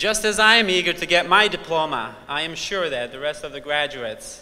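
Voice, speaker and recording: This man speaks with a Bosnian accent at a moderate pace. His intonation is lively. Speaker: student speaker at graduation. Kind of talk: commencement speech. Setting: convention center stage with audience.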